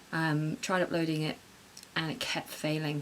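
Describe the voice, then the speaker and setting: A woman talks at a fairly quick pace in a very deep, low pitch. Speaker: YouTuber vlogger. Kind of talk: vlog, casual monologue. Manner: halting, repeats words; speaking quietly.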